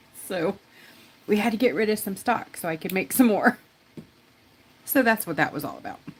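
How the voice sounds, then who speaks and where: The speech moves at a fairly quick pace with lively intonation, big swings in loudness, and long, frequent pauses. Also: woman, fairly high pitch for a woman. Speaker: rock art tutor and craft shop owner. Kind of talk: live-stream craft tutorial chat. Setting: live stream. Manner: casual, rambling.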